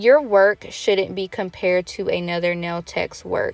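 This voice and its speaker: In a dry, close recording with no echo, a woman of medium pitch speaks fairly slowly as music plays in the background. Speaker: nail tech vlogger. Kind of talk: tutorial.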